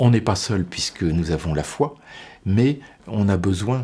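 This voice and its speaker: Lively intonation at a very slow pace. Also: man. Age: 60s. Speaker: deacon. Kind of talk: interview testimony. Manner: halting, many repetitions and hesitations.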